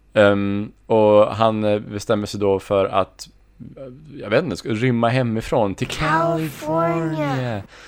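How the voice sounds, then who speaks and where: A man with a normal speaking voice talks at a fairly slow pace. His medium pitch carries lively intonation. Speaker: podcast co-host. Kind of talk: casual chat.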